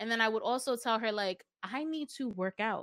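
A woman's plain, everyday voice, fairly high in pitch, in a very clean recording with a silent background and a dry, close sound with no echo. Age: 30s. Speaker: podcaster. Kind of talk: casual chat.

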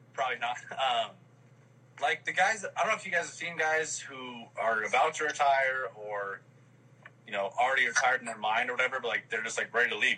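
A man's normal speaking voice at a medium pitch, with lively intonation and a fairly quick pace. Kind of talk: casual live chat. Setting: video call.

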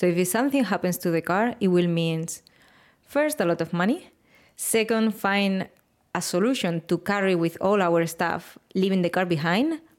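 A woman with a strong Spanish accent speaks at a medium pitch and moderate pace, her loudness very even, on a very clean recording with a silent background. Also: ordinary pitch variation. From Spain, Valencia. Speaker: interviewer. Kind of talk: interview.

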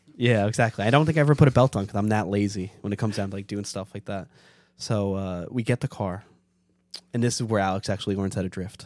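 In a New York accent, a man talks very fast at a fairly low pitch with ordinary pitch variation. The recording is very clean, with a silent background. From New York City (Staten Island). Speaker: car enthusiast. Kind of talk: casual chat.

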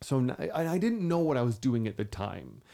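A man with an American accent speaks at a moderate pace. His voice has a medium pitch and a dark, mellow tone. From US Midwest. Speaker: drag queen and podcast host. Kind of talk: casual interview. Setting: studio. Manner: animated, joking.

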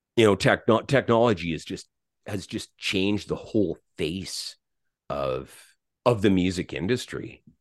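Over a quiet background, a man talks at a fairly slow pace with a fairly low pitch. His lively intonation is marked by vocal fry. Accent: Western Canadian. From Alberta, Canada (St. Albert near Edmonton). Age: 50s. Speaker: musician, former bass player. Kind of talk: interview.

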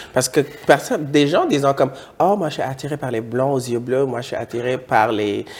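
A man talks at medium pitch and a moderate pace, with ordinary pitch variation. His tone is animated. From West Africa. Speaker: YouTube talk show host. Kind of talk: casual chat.

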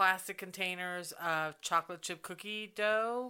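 A bright, sharp tone moves at a very slow pace with fairly even intonation on a very clean recording with a silent background. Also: woman. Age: 50s. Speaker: podcast co-host. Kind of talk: casual chat.

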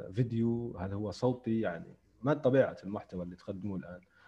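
This man talks at a fairly quick pace in an unremarkable speaking voice, medium in pitch with ordinary pitch variation. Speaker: podcast host, writer and translator. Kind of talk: interview, casual chat. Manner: formal, polished intro.

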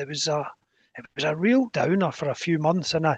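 Dry, close audio with no echo carries a fairly quick delivery in a Scottish accent. The pitch varies in an ordinary way. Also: man. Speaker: race director and athletics chairman. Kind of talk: casual interview chat.

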